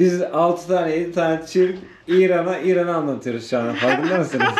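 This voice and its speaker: A man with a high voice talks at a fairly quick pace with ordinary pitch variation, and the recording carries noticeable background noise and audible room echo. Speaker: travel vlogger. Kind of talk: casual chat. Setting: indoors in a family home. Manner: animated.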